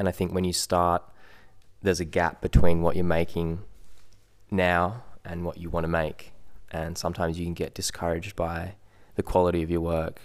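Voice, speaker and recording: In an Australian accent, a man with a very deep, low pitch speaks in a monotone, flat way with long, frequent pauses. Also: moderate pace, very clean recording, silent background. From Perth and Sydney, Australia. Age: 20s. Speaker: photographer. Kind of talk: casual chat.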